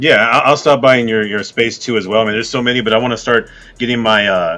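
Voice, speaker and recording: A man talks very fast with a medium pitch. His intonation stays fairly even. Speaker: podcast host. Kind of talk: interview. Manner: monotone.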